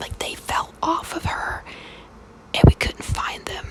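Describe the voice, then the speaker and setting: Noticeable noise sits behind a woman who whispers. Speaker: mother who makes ASMR videos. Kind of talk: whispered ASMR storytelling. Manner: whispered, storytelling.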